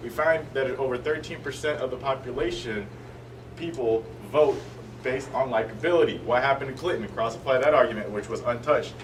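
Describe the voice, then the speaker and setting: A man at a fairly quick pace, with audible room echo and noticeable background noise. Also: medium pitch for a man, ordinary pitch variation. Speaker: college debater. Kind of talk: debate closing speech. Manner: fast.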